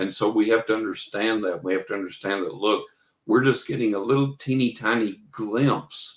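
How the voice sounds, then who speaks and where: A man with an American accent has an ordinary speaking voice at medium pitch. He speaks at a moderate pace with ordinary pitch variation. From West Texas. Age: 60s. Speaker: psychic and paranormal researcher. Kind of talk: interview.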